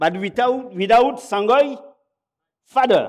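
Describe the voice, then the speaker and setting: Speaking very slowly with a French accent, a man uses an extremely high pitch and lively intonation. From Gabon. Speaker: pastor. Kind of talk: sermon. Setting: church. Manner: halting.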